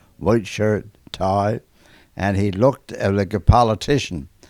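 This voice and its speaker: The speaker has a Newfoundland accent and talks at a fairly slow pace with fairly even intonation. The recording is very clean, with a silent background. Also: man. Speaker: former ship engineer. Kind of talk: documentary interview.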